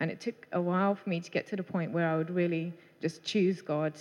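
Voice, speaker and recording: A woman's fairly low, fairly quick voice with fairly even intonation, a plain, everyday voice. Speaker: baptism candidate. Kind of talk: testimony. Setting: church.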